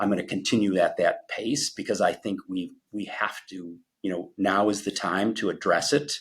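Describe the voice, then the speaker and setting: An unremarkable speaking voice from a man, fairly low in pitch, at a moderate pace with ordinary pitch variation and hardly any pauses. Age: 60s. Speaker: energy company executive. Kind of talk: interview.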